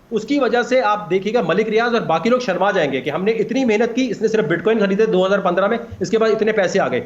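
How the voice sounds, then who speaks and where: Against noticeable background noise, a man with a high-pitched, animated voice keeps his loudness very even and varies his pitch in an ordinary way. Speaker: crypto expert. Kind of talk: TV talk show interview. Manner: animated, emphatic.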